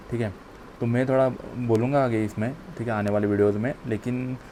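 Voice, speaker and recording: A man talks at a moderate pace in a medium pitch. His intonation is flat and monotone. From Maharashtra, India. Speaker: exam aspirant vlogger. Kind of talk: casual vlog talk. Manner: halting, repetitive fillers.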